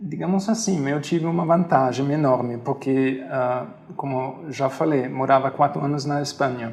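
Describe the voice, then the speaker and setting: Noticeable background noise sits behind a man speaking at a moderate pace and a fairly high pitch, with ordinary pitch variation. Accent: German. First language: German (speaking Portuguese). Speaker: hostel owner. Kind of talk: interview. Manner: halting, with fillers.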